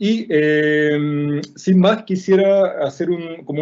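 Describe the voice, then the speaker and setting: A man talks at a high pitch, his pitch varying in an ordinary way. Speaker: drawing instructor. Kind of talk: online lecture. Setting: video call.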